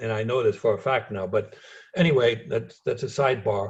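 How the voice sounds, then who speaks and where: A man speaks with a slight German accent in a somewhat breathy voice. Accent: slight German accent in American English. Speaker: former spy. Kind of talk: interview.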